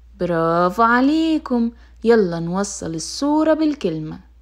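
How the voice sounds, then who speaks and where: Very wide pitch swings from a woman at a very slow pace. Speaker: children's storyteller. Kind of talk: children's teaching activity.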